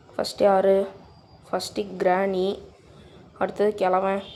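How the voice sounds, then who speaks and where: Her intonation is monotone and flat. The woman speaks at a medium pitch. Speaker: gaming youtuber. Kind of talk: gameplay commentary.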